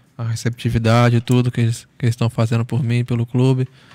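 The voice has a dark, mellow tone and a very fast pace, with a dry sound and no echo. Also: man. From Espírito Santo, Brazil (Celina); Espírito Santo, Brazil. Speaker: professional footballer; guest. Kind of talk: casual interview chat. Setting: studio. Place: studio. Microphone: studio mic.

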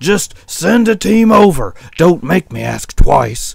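Putting on a character voice, a man speaks loud and slow at a fairly high pitch with big pitch swings, vocal fry, a rumbling quality, a slightly husky edge and a slightly mellow tone.

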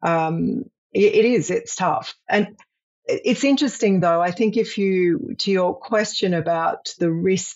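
This woman speaks. Her pace is very slow. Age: 50s. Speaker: senior executive on career sabbatical. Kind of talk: interview. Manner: halting, many fillers.

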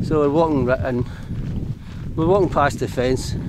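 Over loud background noise, a man talks at a moderate pace, the sound dry with no echo. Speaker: wild camping vlogger. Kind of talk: casual vlog chat. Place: open country. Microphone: phone near.

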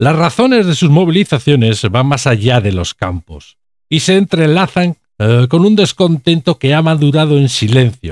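Speaking at a fairly slow pace, a man's pitch swings very widely in a dry, close sound with no echo. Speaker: video commentator. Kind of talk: political commentary video, scripted-style monologue. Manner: indignant, sarcastic, politically charged; halting with frequent fillers.

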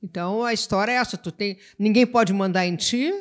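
A woman speaks in a normal speaking voice with lively intonation. Her pace is moderate, and the recording is very clean with a silent background. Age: 60s. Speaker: writer. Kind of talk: literary panel discussion.

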